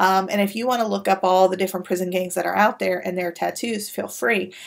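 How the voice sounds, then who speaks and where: A woman at a very fast pace, with fairly even intonation and a quiet background. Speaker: university lecturer. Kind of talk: recorded lecture. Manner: hesitant, many fillers. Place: office. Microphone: webcam.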